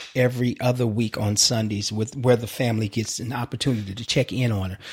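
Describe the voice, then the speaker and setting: Relaxed in tone and somewhat breathy, a man speaks at a moderate pace and a medium pitch. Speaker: actor. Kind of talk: interview. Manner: relaxed, conversational.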